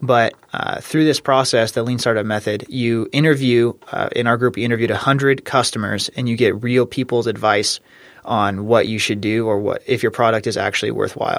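A man with an American accent speaks at a moderate pace with hardly any pauses, fairly even intonation, and medium pitch, in an unremarkable speaking voice. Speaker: engineering student. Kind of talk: interview.

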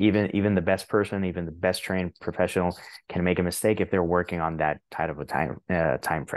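Very deep and low in pitch, a man speaks at a very fast pace with fairly even intonation. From Puerto Rico. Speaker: indie author and translator. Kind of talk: casual interview conversation.

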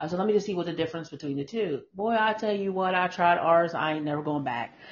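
Speaking in a plain, everyday voice, a woman uses a fairly low pitch and ordinary pitch variation at a fairly quick pace. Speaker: podcast host. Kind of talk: live-streamed chat. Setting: online livestream.

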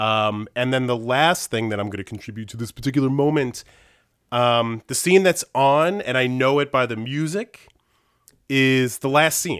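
A man talks in an ordinary speaking voice at a medium pitch and a moderate pace. His pitch variation is ordinary, on a very clean recording with a silent background. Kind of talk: casual chat.

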